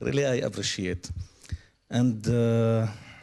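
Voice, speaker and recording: Ordinary pitch variation in a dark, mellow male voice of medium pitch. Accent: Arabic. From Syria. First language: Arabic. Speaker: lawyer and human rights activist. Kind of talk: panel talk. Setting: stage with audience.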